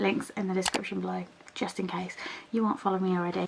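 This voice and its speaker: With a British accent, a woman speaks very fast at medium pitch. Noticeable background noise runs behind her. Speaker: lifestyle vlogger. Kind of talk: casual vlog. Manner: chatty, with many fillers.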